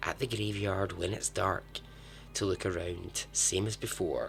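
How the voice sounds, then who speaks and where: A man talks very slowly. Behind him, music can be heard. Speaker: podcast host. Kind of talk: podcast true story narration. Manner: casual, humorous.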